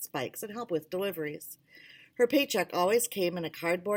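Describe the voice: What you hear is plain reading aloud.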